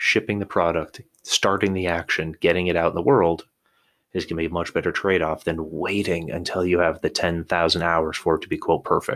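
The speech runs at a fairly quick pace with fairly even intonation. The recording is very clean, with a silent background. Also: man. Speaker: podcast host. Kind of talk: solo podcast monologue. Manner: semi-scripted, conversational.

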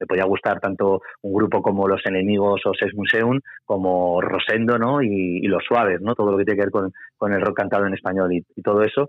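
An unremarkable speaking voice from a man, fairly low-pitched and fairly quick, with fairly even intonation and very even loudness. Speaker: music journalist. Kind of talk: interview.

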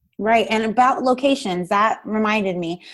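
A woman with a New Jersey accent at a moderate pace, ordinary pitch variation, and a quiet background. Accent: New Jersey American. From US, Paterson, New Jersey. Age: 30s. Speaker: dance educator. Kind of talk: interview.

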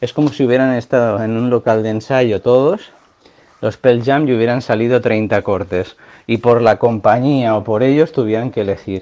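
A man speaks at a moderate pace in a medium pitch with fairly even intonation. His tone is dark and mellow. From Catalonia, Pyrenees near Andorra. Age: 30s. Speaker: music fan, cultural promoter. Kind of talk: recorded testimony.

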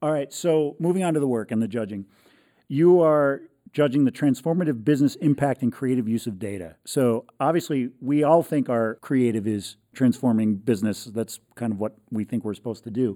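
A man's dark, mellow voice at a moderate pace, with ordinary pitch variation, on a very clean recording with a silent background. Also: medium pitch for a man. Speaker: podcast host and copywriter. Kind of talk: podcast interview.

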